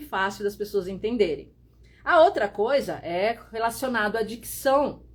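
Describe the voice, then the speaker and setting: A woman's voice, fairly high in pitch, with ordinary pitch variation. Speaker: visual strategist and photographer teaching online. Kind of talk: live stream tutorial. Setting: Instagram live stream. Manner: clear, open diction; forceful, blunt delivery.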